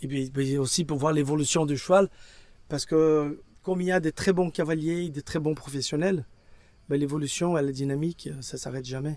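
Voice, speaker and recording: Pitched fairly high, a man talks at a moderate pace. His intonation stays fairly even. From Brazil. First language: Portuguese (speaking French). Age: 60s. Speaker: equine veterinarian. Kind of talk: interview. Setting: at an endurance race. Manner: halting.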